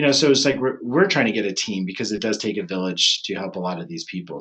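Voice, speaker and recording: A man speaks at a very fast pace with fairly low pitch. His pitch varies in an ordinary way. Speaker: chiropractic neurologist. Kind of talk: webinar presentation. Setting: online webinar. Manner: casual, filler-heavy.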